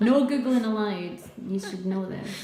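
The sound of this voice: A woman speaks in a dark, mellow tone with ordinary pitch variation. Her voice has audible room echo. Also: medium pitch for a woman, moderate pace.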